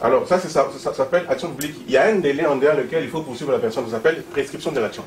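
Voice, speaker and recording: A man with a fairly high pitch talks at a very fast pace against noticeable background noise. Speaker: party member at association launch. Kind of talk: public meeting speech. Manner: halting, many fillers.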